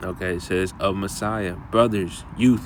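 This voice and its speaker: Amid audible room echo and noticeable background noise, a man speaks with fairly even intonation. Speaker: bible teacher. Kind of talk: bible lesson. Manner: halting.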